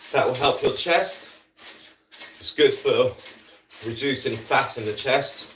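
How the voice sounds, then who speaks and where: A man talks at a very slow pace, with long pauses that come often. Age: 40s. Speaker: fitness instructor. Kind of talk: live workout instruction. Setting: live stream.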